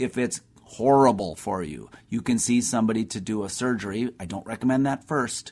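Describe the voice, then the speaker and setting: In a normal speaking voice, a man talks at a medium pitch and fairly quick pace with ordinary pitch variation. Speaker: doctor answering listener health questions. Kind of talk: radio call-in health advice. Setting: radio studio.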